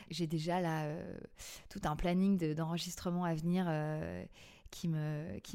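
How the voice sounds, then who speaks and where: Her tone dark and mellow, a woman speaks with flat, monotone intonation. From Paris, France. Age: 40s. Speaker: podcast creator and former TV casting director. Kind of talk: interview testimony. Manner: hesitant, many fillers and repetitions.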